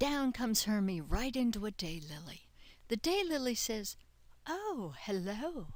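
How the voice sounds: The voice is a natural reading voice. It carries the text.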